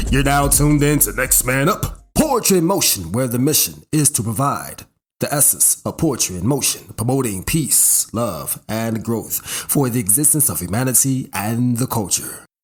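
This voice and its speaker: A man with an ordinary speaking voice talks at a moderate pace and medium pitch, with hardly any pauses. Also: lively intonation. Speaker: show host and poet. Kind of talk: podcast show intro.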